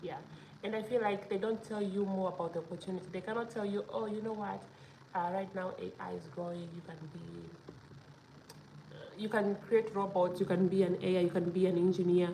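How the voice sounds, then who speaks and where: A woman talks at a fairly quick pace with medium pitch, fairly even intonation and long, frequent pauses. Her loudness swings widely, and there is noticeable background noise. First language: not English; learning Danish as a foreigner. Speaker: vlogger. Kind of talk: casual vlog talk to camera. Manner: hesitant, many fillers.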